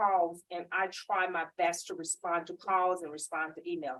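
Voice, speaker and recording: Loud and at a medium pitch, a woman with a Southern US accent speaks in a bright, sharp tone. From Mississippi. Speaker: government small business outreach official. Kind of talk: panel discussion at public event.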